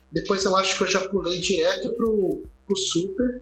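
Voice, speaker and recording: Over noticeable background noise and audible room echo, a man talks at a high pitch with lively intonation. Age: 30s. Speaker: podcast co-host. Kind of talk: casual chat.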